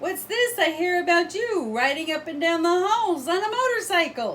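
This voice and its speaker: A put-on character voice speaks at an extremely high pitch and a moderate pace. Clear background noise can be heard. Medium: read story. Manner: blunt, tactless.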